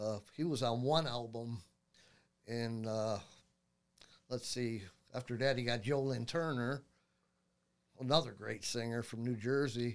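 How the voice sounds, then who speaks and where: Speech comes at a fairly slow pace, with long, frequent pauses and fairly even intonation. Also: man, medium pitch for a man. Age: 50s. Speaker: guitarist and YouTuber. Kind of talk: casual chat.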